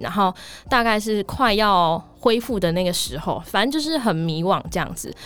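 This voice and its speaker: This is an unremarkable speaking voice, and its pitch varies in an ordinary way. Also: woman. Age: 20s. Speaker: office worker in sales, podcast listener. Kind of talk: casual interview chat.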